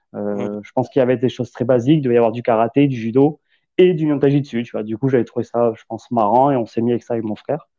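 The speech comes at a very fast pace with fairly even intonation. Loudness rises and falls sharply. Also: man, medium pitch for a man. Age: 30s. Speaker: ex-gendarme, landscaper. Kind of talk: casual chat.

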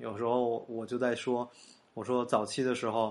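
A man at medium pitch, speaking at a moderate pace over a quiet background. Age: young. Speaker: podcast host. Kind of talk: casual monologue. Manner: halting, many fillers.

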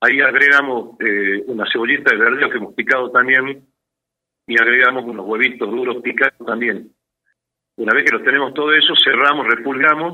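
This man talks at a fairly quick pace with a medium pitch and fairly even intonation. His speech is broken by long, frequent pauses. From Salta, northwest Argentina. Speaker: architect and cook. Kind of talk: cooking tutorial.

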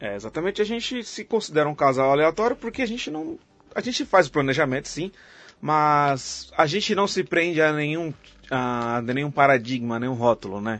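Pitched fairly high, a man's voice swings very widely up and down. He keeps a moderate pace. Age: 30s. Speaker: podcast host. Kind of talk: casual chat.

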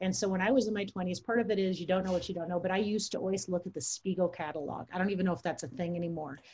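A woman rushes along at a very fast pace with hardly any pauses. Her voice is somewhat breathy. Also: medium pitch for a woman, ordinary pitch variation. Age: 50s. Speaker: podcast co-host. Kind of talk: casual chat.

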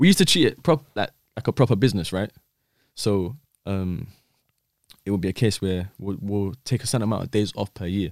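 A man with a London accent, fairly low-pitched, at a fairly quick pace with long, frequent pauses, in a dry, close sound without echo and a very clean recording over a silent background. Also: ordinary pitch variation. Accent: London Multicultural English. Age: 20s. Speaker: former dark web vendor. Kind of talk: podcast interview.

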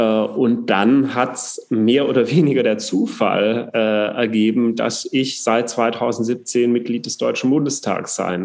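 The pitch variation is ordinary in a normal speaking voice. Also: man. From southern Germany, Upper Swabia. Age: 30s. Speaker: politician. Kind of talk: casual interview.

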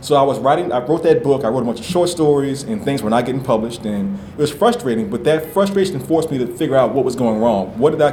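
Very fast and with hardly any pauses, a man speaks with lively intonation over noticeable background noise and audible room echo. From New Orleans. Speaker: novelist. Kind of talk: author interview before live audience.

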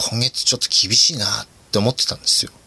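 Noticeable background noise behind a man's dry, close-sounding voice with no echo. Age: 30s. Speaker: podcast host. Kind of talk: casual solo talk. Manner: casual, frequent laughs and fillers.

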